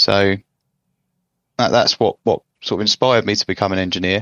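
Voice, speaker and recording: With an English accent, a man speaks at a fairly quick pace in a very deep, low pitch. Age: 20s. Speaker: engineer, former apprentice. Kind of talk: casual chat.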